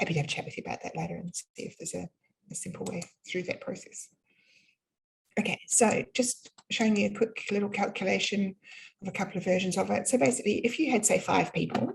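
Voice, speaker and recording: A woman with a New Zealand accent speaks with long, frequent pauses. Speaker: business funding consultant. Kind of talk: live webinar presentation. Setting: online webinar. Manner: casual, many fillers.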